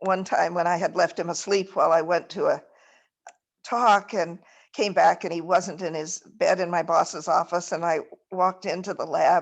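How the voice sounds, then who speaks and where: Against a quiet background, a woman speaks at a fairly slow pace. Her fairly low voice is monotone, with flat intonation. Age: 80s+. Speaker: retired biology professor and phage researcher. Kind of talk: casual chat. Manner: halting.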